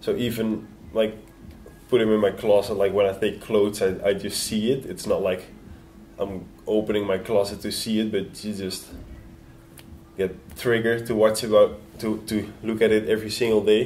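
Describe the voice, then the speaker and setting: Speaking with monotone, flat intonation and long, frequent pauses, a man keeps a moderate pace at a fairly low pitch. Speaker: BMX racer. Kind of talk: interview. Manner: halting.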